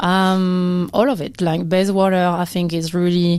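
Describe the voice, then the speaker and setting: Speaking with a strong French accent, a woman uses a fairly low pitch and ordinary pitch variation. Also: very clean recording, silent background. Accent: thick French. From France, Amiens area. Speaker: amateur boxer and chef. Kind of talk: casual interview. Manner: hesitant, many fillers.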